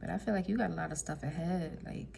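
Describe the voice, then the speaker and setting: Audible room echo follows a female speaker who talks at a moderate pace. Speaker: tarot reader. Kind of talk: tarot reading monologue. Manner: casual, filler-heavy.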